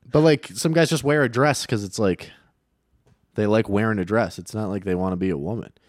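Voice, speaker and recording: On a very clean recording with a silent background, a man uses a normal speaking voice at a fairly low pitch and a fairly quick pace. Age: 30s. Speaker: podcast co-host. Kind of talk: casual chat.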